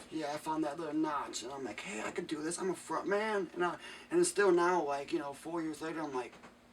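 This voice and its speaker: Noticeable background noise sits under a man speaking at a fairly quick pace with an American accent. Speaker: rock band vocalist and bass player. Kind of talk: casual chat. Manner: halting, many fillers.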